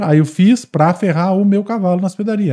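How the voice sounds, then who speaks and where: Against a quiet background, a man's voice has a dark, mellow tone. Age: 30s. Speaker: equine veterinarian. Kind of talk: casual interview.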